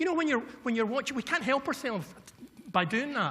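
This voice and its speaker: A man with a west of Scotland accent speaks with very wide pitch swings. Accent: Scottish, west of Scotland. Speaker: violence prevention consultant. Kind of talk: conference keynote speech. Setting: stage with audience. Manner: fast when excited.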